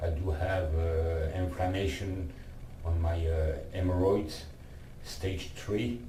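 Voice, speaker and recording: Very deep, low male voice at a very slow pace, with fairly even intonation and noticeable background noise. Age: 50s. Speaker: lung cancer patient. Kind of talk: casual talk to camera.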